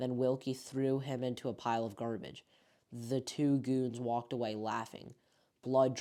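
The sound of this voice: Here the reading voice is unforced.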